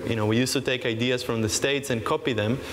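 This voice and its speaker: A man speaks at a medium pitch with ordinary pitch variation over noticeable background noise. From Israel. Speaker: startup panelist. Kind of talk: panel discussion.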